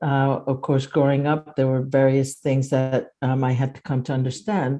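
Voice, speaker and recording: At a fairly slow pace, a woman speaks with a very deep, low pitch and a dark, mellow tone. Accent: Japanese. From Japan, moved to US at age 10. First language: Japanese. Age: 70s. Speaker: retired professor and activist. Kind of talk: webinar discussion.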